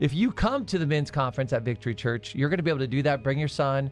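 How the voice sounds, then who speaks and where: Music plays in the background as a man talks very fast. He has an American accent and a fairly high pitch. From Arizona. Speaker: pastor. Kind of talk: casual chat.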